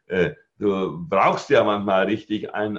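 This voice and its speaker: Fairly low male voice, an ordinary speaking voice, at a fairly slow pace. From Germany, Allgäu (Bavaria/Swabia). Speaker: network marketing trainer and speaker. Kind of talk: podcast interview. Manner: calm, composed.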